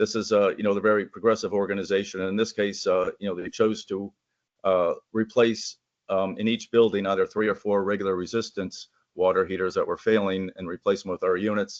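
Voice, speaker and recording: A man's fairly low voice in monotone, flat intonation at a fairly quick pace, with a dry, close sound, no echo and a quiet background. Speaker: manufacturer representative. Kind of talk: presentation. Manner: fast; halting, many fillers.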